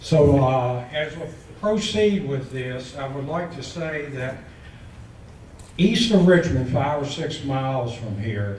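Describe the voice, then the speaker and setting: Noticeable background noise and audible room echo surround a man of medium pitch who talks at a fairly slow pace with lively intonation. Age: 70s. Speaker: public commenter. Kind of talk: public comment speech. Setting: public meeting with audience.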